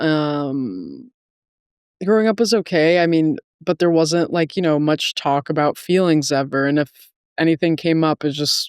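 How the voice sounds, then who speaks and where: A woman's very deep, low voice with an American accent, at a moderate pace with ordinary pitch variation and very even loudness, in a dry, close, very clean recording with no echo and a silent background. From North Carolina (Winston-Salem), Dominican parents. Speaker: guest in recovery, podcast host. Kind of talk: casual interview testimony. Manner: hesitant, many fillers.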